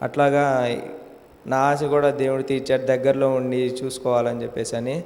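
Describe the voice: At medium pitch and a moderate pace, a man speaks with little pitch movement and a slightly mellow tone.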